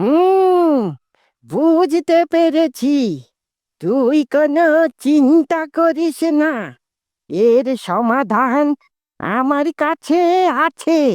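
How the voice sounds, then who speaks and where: A high-pitched cartoonish character voice at a very slow pace. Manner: gruff, commanding.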